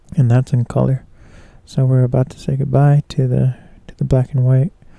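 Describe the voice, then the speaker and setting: A man's medium-pitched, dark, mellow voice, somewhat breathy, at a moderate pace with monotone, flat intonation and a dry, close sound with no echo. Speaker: photographer and live streamer. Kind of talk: casual live stream commentary. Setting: live stream. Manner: hesitant, many fillers.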